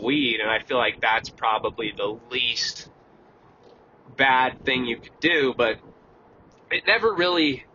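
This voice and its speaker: A man with a medium-pitched voice speaks at a fairly slow pace with lively intonation over noticeable background noise. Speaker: vlogger. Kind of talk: casual monologue. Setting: in a car. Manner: calm.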